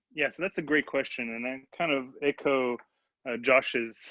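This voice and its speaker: A man with a French accent talks at a moderate pace with fairly even intonation. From France. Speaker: electrical engineer. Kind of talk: panel discussion. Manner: halting.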